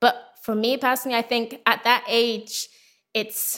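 This woman's fairly high voice has a bright, sharp tone and stays monotone, with flat intonation. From Saudi Arabia (British expat), then Harrogate from 15. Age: 20s. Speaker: travel and food blogger. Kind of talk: interview. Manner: hesitant, many fillers.

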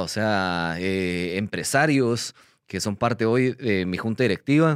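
The recording is very clean, and the background is silent. A man talks with lively intonation. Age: 30s. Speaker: crypto company CEO and podcast host. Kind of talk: casual explainer monologue. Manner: hesitant, many fillers.

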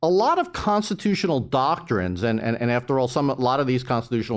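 A man talks in a medium pitch. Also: very clean recording, silent background. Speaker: law professor. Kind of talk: panel talk. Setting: stage with audience. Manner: loud.

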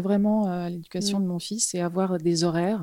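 A woman speaks at a fairly slow pace. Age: 50s. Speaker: fashion model. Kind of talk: interview. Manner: halting.

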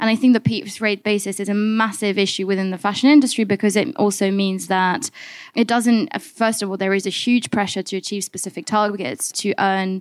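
This woman has a plain, everyday voice at a medium pitch. She talks at a fairly quick pace with ordinary pitch variation. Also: very clean recording, silent background. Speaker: policy and research campaigner. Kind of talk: panel discussion. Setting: live panel with audience.

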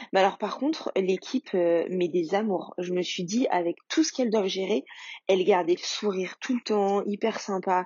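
At a moderate pace and with ordinary pitch variation, this is a normal speaking voice. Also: woman. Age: 30s. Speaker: mother sharing fertility journey. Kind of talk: testimony.

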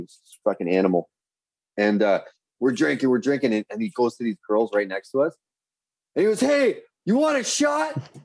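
In a Canadian accent, a man speaks at a fairly quick pace and medium pitch with very wide pitch swings, the sound dry and close with no echo. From Canada. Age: 30s. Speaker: podcaster. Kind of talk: casual chat. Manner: animated.

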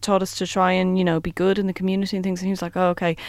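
A woman speaks with an Irish accent. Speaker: theatre performer. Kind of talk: interview.

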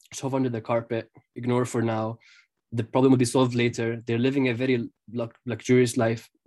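Monotone, flat intonation with long, frequent pauses. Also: man. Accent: Arabic. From Jerusalem, Palestine. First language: Arabic. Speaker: freelance journalist. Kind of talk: interview conversation. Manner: halting, with many fillers and repetitions.

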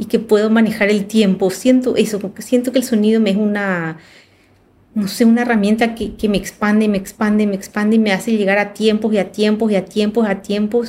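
A woman's fairly high, somewhat breathy voice in a dark, mellow tone at a fairly quick pace. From Paraguay. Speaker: film director. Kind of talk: casual chat.

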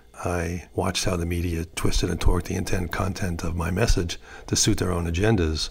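In a monotone, flat delivery, a man with a very deep, low voice speaks at a fairly quick pace. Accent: New York. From US Northeast, New York City. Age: 70s. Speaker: artist and prankster. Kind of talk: interview. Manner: halting.

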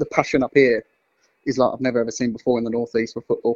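A man with a London accent is heard in a dry, close sound with no echo. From London (Wimbledon). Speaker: football fan. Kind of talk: casual chat.

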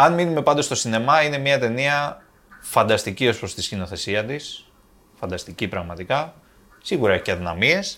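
A man's moderate pace and medium pitch, with very wide swings in pitch. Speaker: film podcast host. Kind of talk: casual chat.

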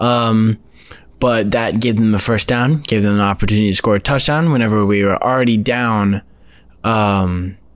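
An ordinary speaking voice from a man, fairly low in pitch, at a moderate pace, with very even loudness and fairly even intonation. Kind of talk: casual sports talk.

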